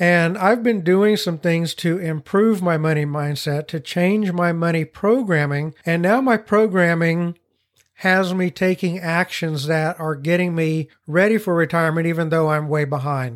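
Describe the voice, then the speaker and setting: Speaking at a fairly slow pace, a man has a high pitch with ordinary pitch variation. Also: very clean recording, silent background. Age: 50s. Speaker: podcast host and financial coach. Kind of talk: solo podcast monologue. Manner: conversational.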